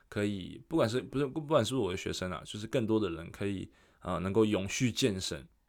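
A man with a normal speaking voice talks at a fairly quick pace and fairly low pitch with lively intonation, on a very clean recording with a silent background. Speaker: fitness coach. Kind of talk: solo podcast monologue. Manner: casual, with fillers and self-corrections.

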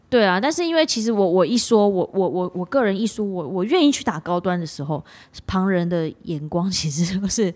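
A woman with a normal speaking voice talks fairly quickly at a medium pitch with lively intonation. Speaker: podcast co-host. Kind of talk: casual chat.

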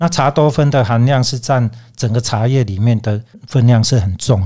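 Somewhat breathy male voice at medium pitch, ordinary pitch variation, very clean recording and silent background. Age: 60s. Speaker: teacher and tea merchant. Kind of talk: interview.

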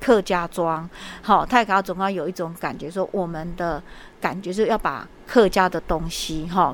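The voice moves at a fairly slow pace with fairly even intonation. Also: woman. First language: Hokkien or Mandarin (learned Hakka by marriage) (speaking Chinese). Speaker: elementary school principal. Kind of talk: interview. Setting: school, on location. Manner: hesitant, many fillers.

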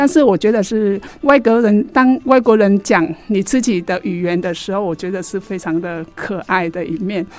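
A woman at a medium pitch speaks at a moderate pace with lively intonation. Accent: Vietnamese. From Vietnam. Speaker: radio host. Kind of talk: radio talk show.

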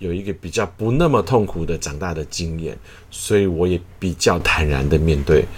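A man's very deep, low voice at a moderate pace, with noticeable background noise. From Taiwan. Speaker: choir conductor. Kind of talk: interview.

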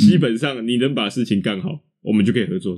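The tone is dark and mellow. A man delivers his words at a very fast pace. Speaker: podcast co-host. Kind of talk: casual chat.

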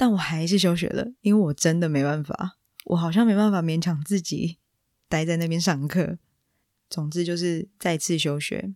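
At a moderate pace, a speaker with a Taiwanese accent comes through on a very clean recording with a silent background. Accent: Taiwanese Mandarin. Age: 20s. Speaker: podcast host. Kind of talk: personal storytelling monologue.

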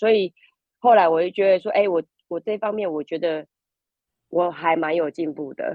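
A woman with a normal speaking voice, medium pitch, ordinary pitch variation, and a fairly quick pace. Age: 50s. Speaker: language school student. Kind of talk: interview.

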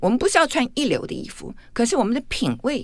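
A woman talking at a fairly quick pace. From Taiwan, Taipei. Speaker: etiquette expert and author. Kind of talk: radio interview. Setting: radio studio. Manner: wild laugh.

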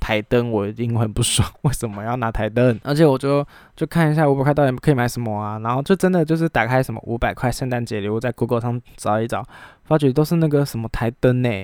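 This man talks at a very fast pace at a medium pitch with ordinary pitch variation, in a very clean recording with a silent background. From Taiwan. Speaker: podcast host and illustrator. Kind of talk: casual solo chat. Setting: recording alone at home.

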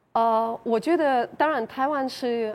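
This woman's voice shows ordinary pitch variation. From Ukraine. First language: Ukrainian or Russian (speaking Chinese). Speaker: Ukrainian resident of Taiwan. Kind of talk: panel interview. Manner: halting.

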